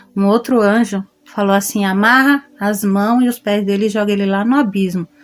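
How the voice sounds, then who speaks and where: A woman of medium pitch speaking at a moderate pace. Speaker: testimony giver. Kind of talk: testimony.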